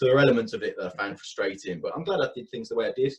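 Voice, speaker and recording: A man with a Birmingham accent at a very fast clip. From Birmingham, England. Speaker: university marketing manager. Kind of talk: interview.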